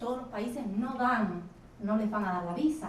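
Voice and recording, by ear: In a room with audible echo, a woman speaks at a moderate pace in a fairly high voice with ordinary pitch variation.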